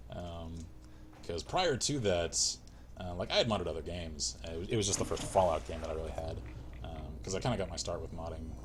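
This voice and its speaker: A man with an American accent speaks in a very deep, low pitch with vocal fry. His intonation is lively, and audible room echo surrounds the voice. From US South, rural small town. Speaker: gaming livestreamer. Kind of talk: casual livestream chat while gaming. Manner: casual, filler-heavy.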